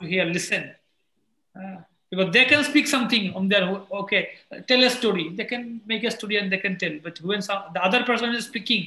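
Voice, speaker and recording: A man speaks at a fairly quick pace in a raised, projected voice with a high pitch. His tone is bright and sharp, with ordinary pitch variation. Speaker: English teacher. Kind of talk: casual chat.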